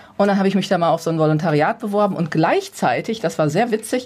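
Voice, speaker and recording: A woman with a plain, everyday voice and a medium pitch talks at a fairly quick pace. Her intonation is lively. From Ruhr area, Gelsenkirchen. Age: 50s. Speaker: personal development coach. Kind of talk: radio interview.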